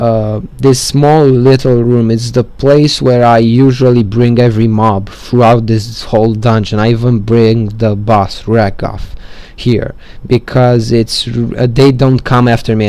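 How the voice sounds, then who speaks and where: Over noticeable background noise, a man speaks at a fairly slow pace in a medium pitch, with fairly even intonation, very even loudness, and hardly any pauses. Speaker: gaming tutorial maker. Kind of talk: game walkthrough commentary. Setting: low-quality microphone. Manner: casual, hesitant.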